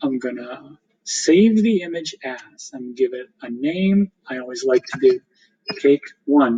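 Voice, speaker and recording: In a dry, close recording with no echo, a man speaks with a dark, mellow tone and ordinary pitch variation. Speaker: teacher. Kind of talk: tutorial. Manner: fast.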